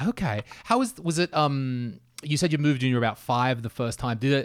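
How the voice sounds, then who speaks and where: In a very clean recording with a silent background, a man speaks in a normal speaking voice. His pace is fairly quick, with ordinary pitch variation. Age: 40s. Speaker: podcast host. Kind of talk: casual interview.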